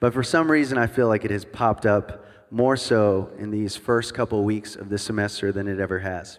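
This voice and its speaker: An unremarkable speaking voice moves at a moderate pace with ordinary pitch variation and hardly any pauses, in a very clean recording with a silent background. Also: man, fairly low pitch for a man. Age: 30s. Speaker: worship pastor, guest speaker. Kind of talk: sermon. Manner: casual, joking.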